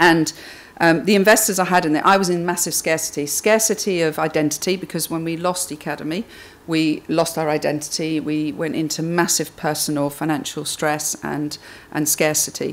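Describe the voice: A woman speaks at a moderate pace in a low pitch, her intonation fairly even.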